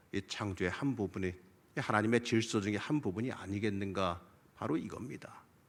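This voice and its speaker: A man's bright, sharp tone with lively intonation at a moderate pace, in a very clean recording with a silent background. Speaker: pastor. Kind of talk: sermon. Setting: church.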